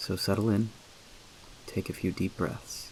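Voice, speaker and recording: A soft-spoken man talks at a moderate pace. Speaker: storyteller. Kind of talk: sleep story.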